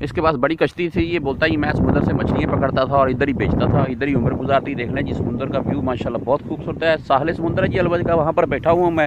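Loud background noise surrounds a man speaking at a fairly high pitch. The sound is dry with no echo. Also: ordinary pitch variation. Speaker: vlogger. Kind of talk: casual talk to camera. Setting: outdoors. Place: beach. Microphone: phone near.

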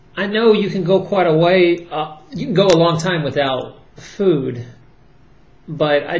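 A man talks with a somewhat breathy voice. His pitch varies in an ordinary way. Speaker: commentator, former chiropractor. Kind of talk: casual vlog commentary. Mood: worried, earnest. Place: home room. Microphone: webcam.

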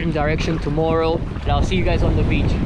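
Loud background noise with a dry sound and no echo. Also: man. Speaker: solo sailor vlogger. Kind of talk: casual vlog chat. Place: boat. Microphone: phone near.

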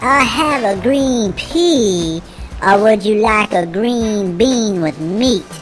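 A put-on character voice at a fairly high pitch, delivered at a very slow pace over clear background noise. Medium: read story. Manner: eager, excitable.

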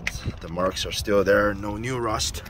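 A man, dry-sounding with no echo, against noticeable background noise. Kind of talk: casual vlog chat. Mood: proud, relaxed. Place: street. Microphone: phone near.

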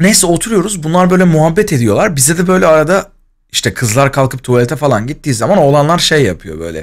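Against a quiet background, a man speaks very fast with lively intonation and an animated tone. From Turkey, Izmir; Turkey. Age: 20s. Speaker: streamer. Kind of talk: casual storytelling on a livestream. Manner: animated, laughing.

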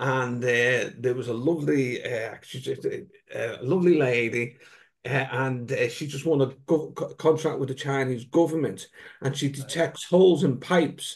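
A man's fairly high, somewhat breathy voice at a moderate pace, with ordinary pitch variation. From UK. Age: 60s. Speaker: wellbeing coach. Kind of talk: casual chat. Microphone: video call.

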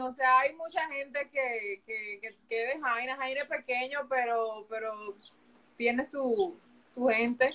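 A fairly slow delivery in a Dominican accent. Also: woman. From Dominican Republic. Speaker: sports journalist. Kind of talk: live interview chat. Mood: relaxed, reflective. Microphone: video call.

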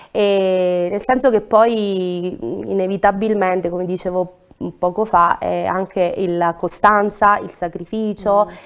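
In a very clean recording with a silent background, a woman at a medium pitch speaks very slowly, her intonation fairly even but her loudness swinging widely. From Cilento, southern Italy. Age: 30s. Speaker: restaurant owner. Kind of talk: TV interview. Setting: studio. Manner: halting.

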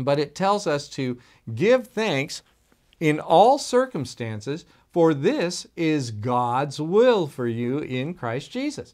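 A fairly high male voice at a very slow pace with very wide pitch swings, quiet background. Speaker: pastor. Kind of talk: sermon. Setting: recorded video for online viewers. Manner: animated; loud. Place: office.

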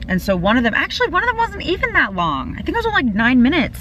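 Light background noise behind a woman speaking. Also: dry sound with no echo. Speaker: vlogger living in her car. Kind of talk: casual vlog chat. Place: car. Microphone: phone near.

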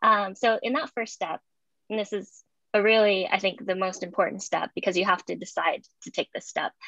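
Her voice has a bright, sharp tone and an American accent. The sound is dry with no echo, over a quiet background. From US. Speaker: services executive; panelist. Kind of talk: panel discussion. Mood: warm, reflective. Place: home room. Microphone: video call.

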